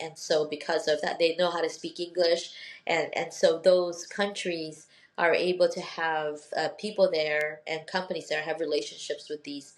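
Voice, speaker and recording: With a Filipino accent, a woman talks in a fairly low, monotone voice with flat intonation. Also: moderate pace. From Philippines and Northern Mariana Islands. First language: Tagalog. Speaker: law professor. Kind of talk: interview conversation.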